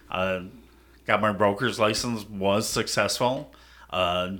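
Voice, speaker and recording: Here a man talks at a very slow pace with an American accent. His intonation stays fairly even. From US Midwest, Minnesota. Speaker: police officer. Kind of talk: casual interview.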